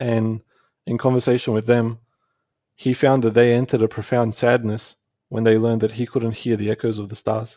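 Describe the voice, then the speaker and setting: With an Australian accent, a man speaks at a fairly quick pace and medium pitch in a monotone, flat intonation. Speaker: spiritual teacher and entrepreneur. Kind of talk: podcast interview. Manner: halting.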